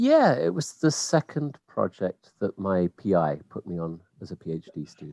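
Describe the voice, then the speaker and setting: A man with a very deep, low pitch and a dark, mellow tone speaks at a moderate pace with hardly any pauses, his pitch swinging very widely and his loudness shifting a lot, in a dry, close sound with no echo. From England, Kent. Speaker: scientist. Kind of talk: interview. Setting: video call.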